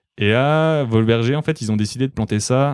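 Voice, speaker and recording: An unremarkable speaking voice moves at a moderate pace with ordinary pitch variation in a dry, close recording with no echo and a silent, very clean background. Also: man. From France, Alsace. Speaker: podcaster and winemaker's son. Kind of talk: casual chat.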